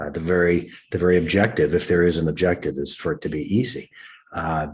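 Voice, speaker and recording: A man talks at a very fast pace in a very deep, low voice. His pitch varies in an ordinary way, and the background is quiet. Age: 60s. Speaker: executive coach and meditation teacher. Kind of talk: interview. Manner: halting, many fillers.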